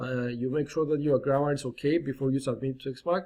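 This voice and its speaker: A man speaks with a non-native accent. His pitch sits fairly high. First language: not English. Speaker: online marketing YouTuber. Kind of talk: tutorial. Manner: animated; slow and clear dictation at times.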